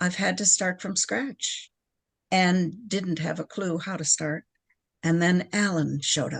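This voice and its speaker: A woman with an American accent talks at a fairly slow pace with a fairly low pitch, ordinary pitch variation and a somewhat breathy quality, in a dry, close sound with no echo. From US Midwest, Chicago suburbs. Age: 70s. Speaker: podcast guest in recovery, artist. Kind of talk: casual interview chat.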